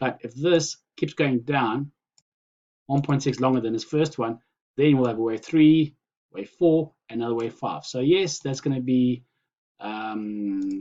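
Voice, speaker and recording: The pitch shifts in an ordinary way. Delivery is at a fairly slow pace. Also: man, medium pitch for a man. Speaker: crypto market commentator. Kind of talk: screen-share chart analysis.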